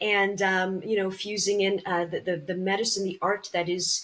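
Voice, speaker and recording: A woman with a slight Canadian accent talks at a moderate pace with fairly even intonation. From Canada. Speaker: actress and cancer survivor. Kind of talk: interview podcast.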